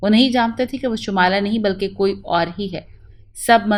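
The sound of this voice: An unforced reading voice carries through the clip.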